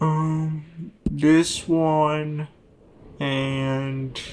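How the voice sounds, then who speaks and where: His pitch is fairly high for a man. The man delivers his words with monotone, flat intonation. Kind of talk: casual gameplay commentary. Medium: machinima.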